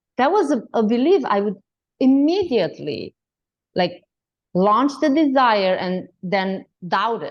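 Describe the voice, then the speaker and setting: A woman in a Romanian accent swings very widely in pitch. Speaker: health coach and author. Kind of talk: interview.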